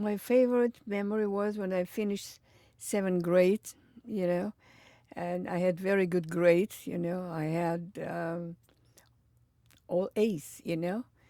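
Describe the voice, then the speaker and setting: A woman with a medium pitch and a dark, mellow tone speaks at a fairly slow pace, with fairly even intonation and long, frequent pauses. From Belarus (Minsk). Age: 80s+. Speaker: interviewee, Holocaust survivor. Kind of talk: oral history interview.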